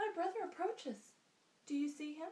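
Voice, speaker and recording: Using a squeaky, put-on character voice, a woman speaks at an extremely high pitch with lively intonation. Her pace is moderate. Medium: read story.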